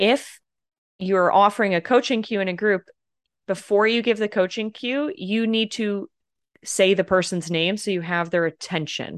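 In a normal speaking voice at medium pitch, a woman talks at a moderate pace with ordinary pitch variation, recorded in a dry, close sound with no echo over a quiet background. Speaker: podcast host and communication coach. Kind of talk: casual podcast conversation.

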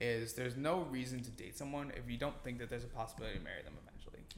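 Speaking at a very fast pace with a medium pitch, a man is heard with audible room echo. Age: 20s. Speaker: student housing company founder. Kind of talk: casual chat. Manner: halting, many fillers.

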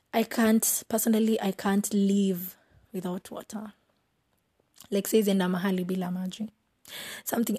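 At a moderate pace with long, frequent pauses, a woman's medium-pitched, somewhat breathy voice stays monotone and flat, the sound dry and close with no echo. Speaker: podcast host, university student. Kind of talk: casual chat, solo intro monologue. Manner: self-deprecating, laughs at own jokes.

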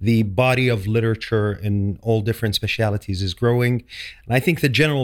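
The voice carries an Arabic accent at a fairly quick pace. Its intonation stays fairly even. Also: man, very clean recording, silent background. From Saudi Arabia. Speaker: dental specialty trainee. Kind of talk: podcast interview. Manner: hesitant, many fillers.

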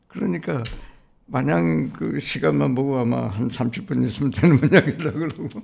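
Vocal fry runs through this man's voice at a medium pitch. He speaks at a moderate pace with very wide pitch swings. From Seoul, Korea. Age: 80s. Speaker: community leader and Korean War veteran, former Korean association president. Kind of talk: casual interview, recounting life story. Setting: studio.

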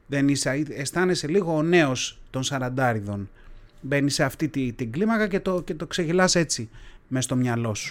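A man with an unremarkable speaking voice talks at a fairly slow pace, his pitch fairly high and his intonation lively, on a very clean recording with a silent background. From Athens, Greece. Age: 40s. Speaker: podcaster. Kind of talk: solo monologue podcast. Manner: casual, conversational.

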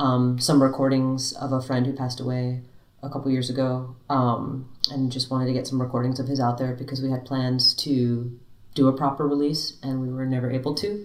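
Over noticeable background noise, a woman speaks in a very deep, low voice with monotone, flat intonation. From Miami, Florida. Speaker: drummer in a rock band. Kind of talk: casual interview chat.

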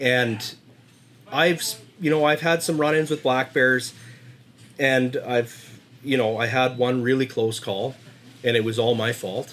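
At a fairly slow pace with long, frequent pauses, a man with a western Canadian accent speaks at medium pitch with ordinary pitch variation. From Dawson Creek, northern British Columbia, Canada. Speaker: local hunter. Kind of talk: casual chat.

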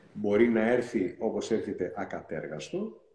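A man speaks at a very slow pace, his dark, mellow tone edged with vocal fry. His pitch swings very widely. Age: 50s. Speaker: NLP coach. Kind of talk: interview. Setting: Instagram live video call.

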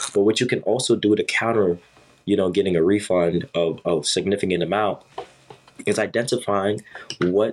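A man speaks at a fairly low pitch. Noticeable background noise sits behind him. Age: 20s. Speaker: podcast host and college student. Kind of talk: casual advice monologue. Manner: casual with many fillers.

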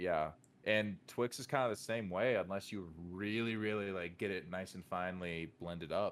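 A man with an American accent and a plain, everyday voice speaks at a moderate pace, with a fairly low pitch and ordinary pitch variation. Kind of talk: casual chat.

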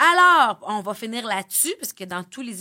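On a very clean recording with a silent background, a woman with a Quebec accent and a bright, sharp tone talks at a fairly slow pace. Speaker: podcast host. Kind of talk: casual chat.

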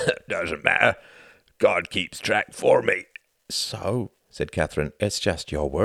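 The background is quiet. An unforced reading voice carries the clip.

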